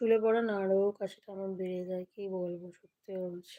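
A woman with a dark, mellow tone speaks at medium pitch with monotone, flat intonation. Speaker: vlogger. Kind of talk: casual live stream chat. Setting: at home, live stream.

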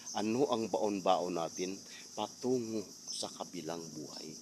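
This man has a normal speaking voice, pitched fairly low, with ordinary pitch variation. He talks at a fairly slow pace. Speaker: vlogger. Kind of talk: storytime vlog rant, preachy moral appeal. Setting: outdoors. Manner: earnest, scolding, hectic, fillers.

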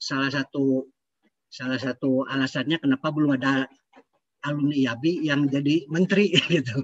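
A man speaks in a normal speaking voice, pitched fairly high for a man, at a moderate pace. His intonation is fairly even, and the background is quiet. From Bandung, West Java, Indonesia; West Java, Indonesia. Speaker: aeronautics entrepreneur; audience member. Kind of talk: discussion remarks. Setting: video call. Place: home room. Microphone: video call.

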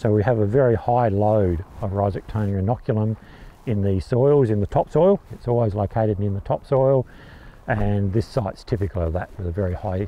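With a normal speaking voice, a man of fairly low pitch talks at a fairly quick pace with ordinary pitch variation. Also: dry sound with no echo. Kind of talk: explainer to camera. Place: farm machine. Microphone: lapel.

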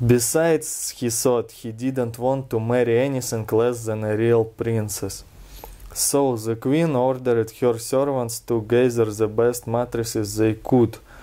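A man with a Russian accent speaks fairly slowly in a dark, mellow tone. His intonation stays flat and monotone. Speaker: reader of a fairy tale. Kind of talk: storybook reading. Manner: relaxed. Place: home room. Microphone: camera far.

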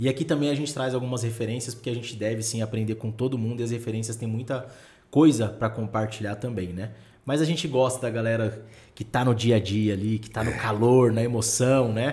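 Speaking with a Brazilian accent, a man with a dark, mellow, somewhat breathy tone talks at a fairly quick pace with fairly even intonation. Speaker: podcast host, real estate. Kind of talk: casual podcast interview. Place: studio. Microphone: studio mic.

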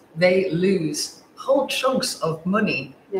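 With an English accent, a woman speaks at a fairly low pitch amid light background noise and audible room echo. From England. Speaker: portrait photographer, panel host; panel host. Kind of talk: panel discussion. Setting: livestream. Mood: earnest, engaged. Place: studio. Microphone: lapel.

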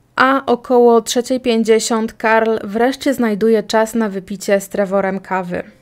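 A woman with a fairly high pitch speaks at a very slow pace with hardly any pauses. Her loudness swings widely, and the recording is very clean with a silent background. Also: fairly even intonation. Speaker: podcast host, true crime narrator. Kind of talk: true-crime narration, scripted-style storytelling. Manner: even, measured, matter-of-fact; informal, conversational asides.

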